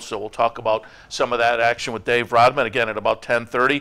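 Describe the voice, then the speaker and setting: This man's tone is bright and sharp. He talks in a flat monotone at a fairly quick pace. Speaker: racing show host. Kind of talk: broadcast host commentary. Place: studio. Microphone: lapel.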